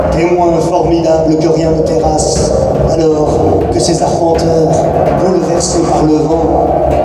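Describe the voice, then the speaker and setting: Against music in the background, a man with a high pitch speaks at a very slow pace in a monotone, flat intonation with very even loudness. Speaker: poet. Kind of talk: experimental sound poetry performance. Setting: live recording.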